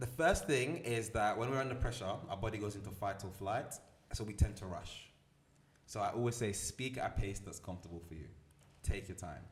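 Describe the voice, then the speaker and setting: Somewhat breathy and fairly low-pitched, a man talks at a fairly quick pace with ordinary pitch variation and big swings in loudness, with audible room echo. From Milan, Italy. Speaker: motivational speaker and entrepreneur. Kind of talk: podcast interview. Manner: confident, articulate.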